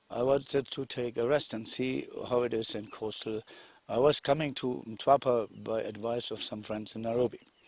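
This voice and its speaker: A man with a German accent, medium in pitch, with fairly even intonation. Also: moderate pace, very clean recording, silent background. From Germany. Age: 60s. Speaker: investor. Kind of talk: testimony. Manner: halting.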